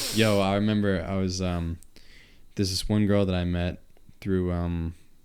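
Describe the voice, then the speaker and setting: In a Long Island accent, a man with a very deep, low pitch talks at a moderate pace with monotone, flat intonation and audible room echo. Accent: Long Island accent, noticeable. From Long Island, New York. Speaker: podcast host and musician. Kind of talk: casual chat. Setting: studio.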